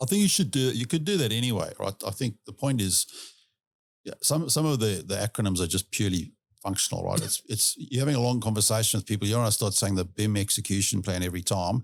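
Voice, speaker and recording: In a South African accent, a man talks very fast at a fairly low pitch with ordinary pitch variation, the sound dry and close with no echo on a very clean recording with a silent background. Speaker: industry expert guest. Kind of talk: casual chat.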